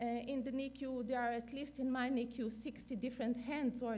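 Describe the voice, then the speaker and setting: In a room with audible echo, a woman with a non-native accent speaks at a moderate pace in a fairly high pitch, her tone dark and mellow and her intonation monotone and flat. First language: not English. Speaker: neonatal clinician and researcher. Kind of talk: conference lecture. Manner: halting, many fillers.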